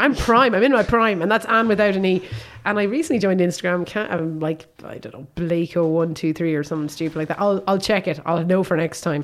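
A woman with a Limerick accent races along at a very fast pace, fairly low in pitch with ordinary variation, over noticeable background noise. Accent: Irish (Limerick). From Ireland, Limerick. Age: 40s. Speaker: podcast host. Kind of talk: casual chat.

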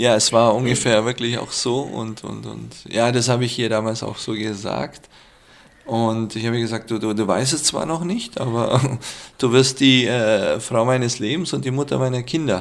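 With a Middle Eastern accent, a man talks at a moderate pace and medium pitch, his pitch varying in an ordinary way. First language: Aramaic (speaking German). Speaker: hotel owner and former IT manager. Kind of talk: casual interview. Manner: halting, many fillers.

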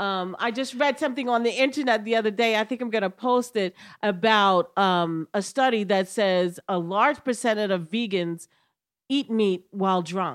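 On a very clean recording with a silent background, a woman with a plain, everyday voice speaks at a moderate pace and fairly high pitch, with ordinary pitch variation. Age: 50s. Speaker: comedian. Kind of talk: casual chat.

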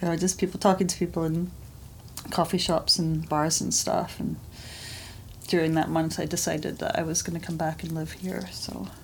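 Speaking at a moderate pace, a woman with fairly low pitch uses fairly even intonation and some vocal fry. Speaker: artist. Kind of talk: interview. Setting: her studio.

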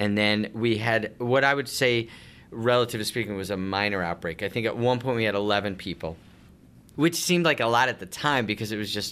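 A man with an American accent speaks at a fairly quick pace in a plain, everyday voice, his pitch fairly low with ordinary variation, on a very clean recording with a silent background. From Long Island, New York. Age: 40s. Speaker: homeless shelter director. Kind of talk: interview.

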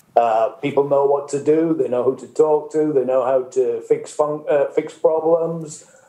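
Over noticeable background noise, a man with a fairly high pitch talks at a fairly slow pace with fairly even intonation. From northern England. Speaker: greenhouse industry expert. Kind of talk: panel discussion. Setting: video call.

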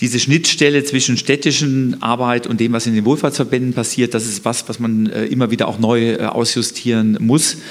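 With noticeable background noise behind him, a man talks at a moderate pace in a medium pitch, his intonation fairly even and hardly any pauses. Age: 50s. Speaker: mayoral candidate, economist. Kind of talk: panel debate. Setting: stage with live stream.

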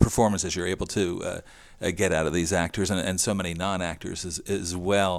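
Speaking at a fairly quick pace, a man has an American accent. The recording is very clean with a silent background. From southern New Jersey, Salem County. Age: 50s. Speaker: podcast host. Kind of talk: interview; scripted narration.

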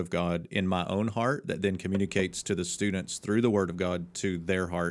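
Over a silent background in a very clean recording, a man with a very deep, low voice talks at a moderate pace with fairly even intonation. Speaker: seminary professor and co-host. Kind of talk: casual chat. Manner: joking, conversational.

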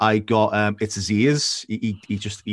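A man talks in a normal speaking voice, fairly low in pitch with fairly even intonation, in a very clean recording with a silent background. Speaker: podcast host. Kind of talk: interview.

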